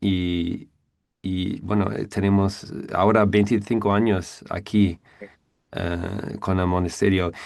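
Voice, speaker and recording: With an English accent, a man speaks at a very slow pace in a very deep, low pitch and monotone, flat intonation. The recording is very clean, with a silent background. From US Northeast, near New York. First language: English (speaking Spanish). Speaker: Buddhist monk. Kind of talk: interview. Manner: halting, many fillers.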